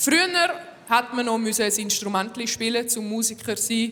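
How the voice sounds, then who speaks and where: The woman's pitch sits fairly high. Background noise is noticeable. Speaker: comedian. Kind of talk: stand-up monologue hosting an awards show. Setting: live stage with audience.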